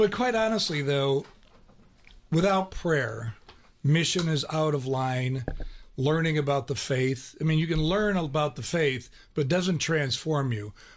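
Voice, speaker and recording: Using a normal speaking voice with an American accent, a man speaks at a fairly slow pace and fairly high pitch. His intonation is lively, his loudness very even, and the background quiet. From Ohio. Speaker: radio co-host. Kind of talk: casual radio conversation. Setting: radio studio.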